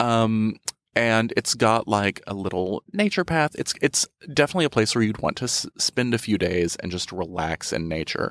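A man with an unremarkable speaking voice and medium pitch talks at a moderate pace with lively intonation, in dry, close sound with no echo on a very clean recording with a silent background. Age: 30s. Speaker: magazine editor and freelance writer. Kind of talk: casual chat. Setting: studio.

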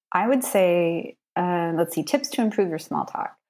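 A woman speaks at a fairly slow pace in a plain, everyday voice, with ordinary pitch variation, on a very clean recording with a silent background. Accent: American. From US, Maine. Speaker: cultural and business trainer. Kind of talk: interview, casual chat.

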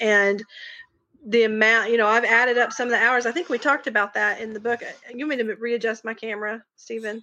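A woman with a strong Southern US accent talks at a fairly quick pace. Her tone is bright and sharp, with fairly even intonation. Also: fairly high pitch for a woman. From Arkansas. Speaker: podcast guest, true crime podcast co-host.

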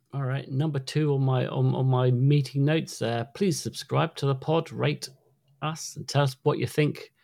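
In a British accent, the speaker keeps a moderate pace and fairly even intonation. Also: man, fairly high pitch for a man, very clean recording, silent background. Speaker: podcast co-host. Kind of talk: casual chat. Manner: halting.

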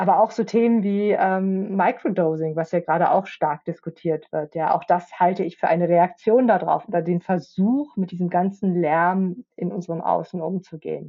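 A woman talks at a moderate pace in an unremarkable speaking voice. Her medium pitch shows ordinary pitch variation. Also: hardly any pauses. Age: middle-aged. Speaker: podcast co-host and futures researcher. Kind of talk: casual chat.

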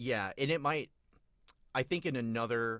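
This man has a plain, everyday voice and keeps to a moderate pace. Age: 30s. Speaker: podcast guest, film fan. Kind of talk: casual chat.

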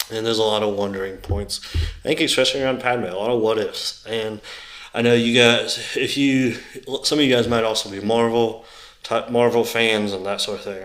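A man with an ordinary speaking voice, medium pitch, fairly even intonation and a moderate pace. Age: 20s. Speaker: solo podcast host. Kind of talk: casual solo monologue.

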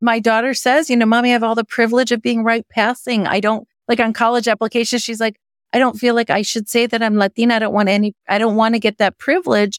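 A woman with an American accent talks at a very fast pace in a fairly high voice, her intonation fairly even and her loudness very even, with a dry, close sound and no echo. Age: 50s. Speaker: venture investor. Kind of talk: interview.

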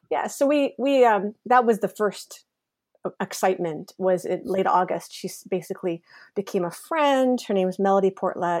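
A woman with an unremarkable speaking voice talks at a moderate pace, using a medium pitch and ordinary pitch variation. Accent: Canadian. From Canada, Ontario. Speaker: novelist. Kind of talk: casual interview.

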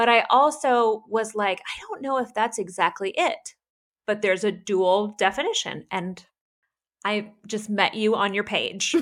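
Her voice, an unremarkable speaking voice, is fairly high in pitch with ordinary pitch variation, and the woman speaks at a fairly slow pace. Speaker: podcast co-host. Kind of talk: casual chat.

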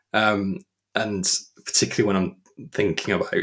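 A man with a fairly low pitch, a fairly bright tone and a slightly husky edge

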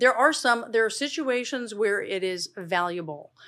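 Here a woman talks at a moderate pace with lively intonation. She has an ordinary speaking voice. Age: 50s. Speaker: dermatologist. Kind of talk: casual interview. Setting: studio.

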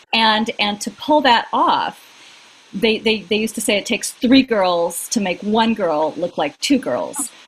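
The delivery is fairly slow and somewhat breathy. Intonation is lively. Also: woman, fairly high pitch for a woman. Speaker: acting career coach and podcaster. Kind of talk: casual comedic chat.

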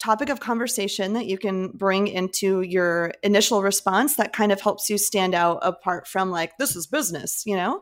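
In a very clean recording with a silent background, a woman uses a plain, everyday voice at medium pitch, moderate pace, and ordinary pitch variation. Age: 30s. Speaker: wedding photographer. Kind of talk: casual chat. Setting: podcast interview.

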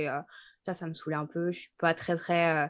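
A woman with a plain, everyday voice talks at a moderate pace against a quiet background. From Savoie, French Alps near Chambéry. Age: 20s. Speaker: podcast co-host. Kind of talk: casual chat. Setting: at home.

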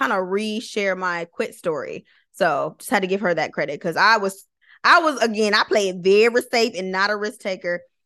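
Against a quiet background, an animated voice with a bright, sharp tone and an American accent moves at a fairly quick pace with ordinary pitch variation. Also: woman. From Michigan (Flint). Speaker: lawyer and content creator. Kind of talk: interview.

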